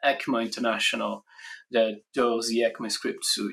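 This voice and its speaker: With a Brazilian accent, a man speaks at a moderate pace. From Brazil, Rio de Janeiro. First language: Portuguese. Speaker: software standards engineer, conference speaker. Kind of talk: conference talk. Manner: hesitant, many fillers.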